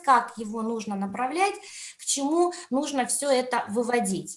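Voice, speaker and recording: A woman speaks in a high pitch with audible room echo around her. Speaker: education conference speaker, teacher trainer. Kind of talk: online conference talk. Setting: video call.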